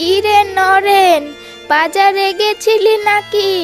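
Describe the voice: A cartoonish character voice from a woman, pitched extremely high, with clear music in the background.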